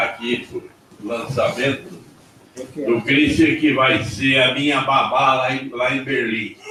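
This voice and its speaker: Very slow speech from a man, amid noticeable background noise and audible room echo. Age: 70s. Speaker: former factory worker and torture survivor. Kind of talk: personal testimony at panel.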